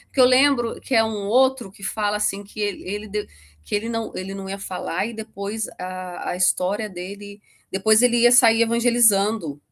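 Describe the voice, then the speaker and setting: A woman talks at a moderate pace with fairly even intonation and a fairly high pitch, her loudness swinging in big jumps. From Brazil, Rio de Janeiro state. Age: 40s. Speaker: podcast guest. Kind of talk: interview testimony. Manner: halting.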